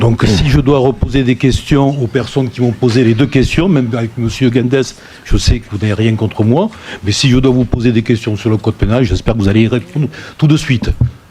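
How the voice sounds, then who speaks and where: A man's medium-pitched voice, fairly quick, with ordinary pitch variation and very even loudness, amid noticeable background noise. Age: 60s. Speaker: deputy mayor, retired gendarme. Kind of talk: council meeting self-introduction.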